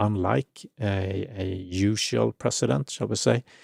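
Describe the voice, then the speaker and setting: On a very clean recording with a silent background, a man with a non-native accent speaks in a very deep, low pitch with vocal fry and lively intonation. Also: dry, close sound with no echo. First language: not English. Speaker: spirituality channel host. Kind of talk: livestream commentary. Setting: live stream. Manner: halting, many fillers and repeats.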